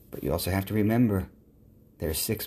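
Upbeat in tone, a man speaks in a fairly low, somewhat breathy voice with ordinary pitch variation. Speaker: podcast host; author and coach. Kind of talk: motivational pep talk. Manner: earnest, encouraging, upbeat; repetitive, direct address to listeners.

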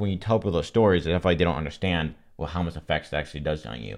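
Over a quiet background, a man with a very deep, low pitch and vocal fry speaks at a very fast pace. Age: 20s. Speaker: mental health podcast guest, content creator. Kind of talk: casual chat. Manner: halting.

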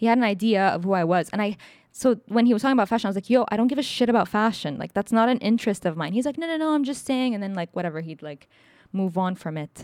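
A woman with a fairly high pitch speaks at a very fast pace with lively intonation, on a very clean recording with a silent background. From Egypt. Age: 20s. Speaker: podcast co-host. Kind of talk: casual chat.

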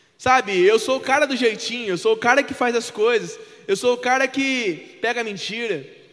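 With noticeable background noise behind him, a man talks at a moderate pace in an extremely high voice with ordinary pitch variation. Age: 20s. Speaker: preacher. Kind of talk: sermon.

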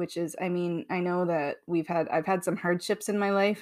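In a very clean recording with a silent background, a plain, everyday voice moves at a moderate pace with a dry, close sound and no echo. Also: woman. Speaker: podcast host. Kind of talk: casual banter and storytelling. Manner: laughs often, playful.

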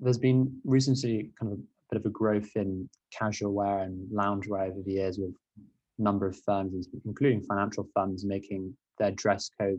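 This man has an ordinary speaking voice with fairly low pitch. His intonation is fairly even and his pace moderate. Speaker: student podcast host. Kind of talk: interview.

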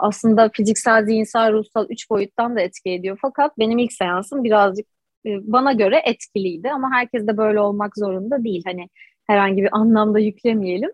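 A woman has an unremarkable speaking voice at a fairly high pitch. She keeps a moderate pace and fairly even intonation. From Istanbul, Anatolian side. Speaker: holistic breath coach. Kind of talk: interview.

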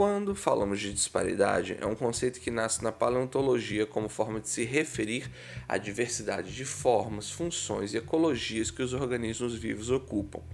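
Speaking with a Brazilian accent and vocal fry, a man at medium pitch barely pauses at all. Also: ordinary pitch variation, moderate pace. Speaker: science podcast host. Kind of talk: scripted narration.

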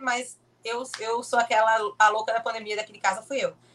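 A woman talking at a fairly quick pace. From Brazil, Pernambuco (Olinda). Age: 20s. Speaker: motorsport content creator and kart driver. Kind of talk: casual interview.

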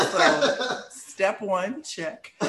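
A man talks with a slight Arkansas accent. Noticeable background noise runs underneath. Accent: slight Arkansas Southern. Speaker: attorney and co-host.

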